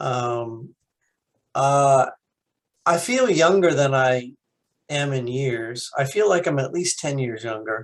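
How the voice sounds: Pausing long and often, a man speaks slowly at a medium pitch with lively intonation.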